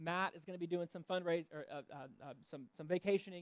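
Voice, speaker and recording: A man speaks very fast in a high pitch with monotone, flat intonation. The sound is dry and close, with no echo. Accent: Southern US. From US South. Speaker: pastor. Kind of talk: church announcements and sermon. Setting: church service. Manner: casual, with many fillers.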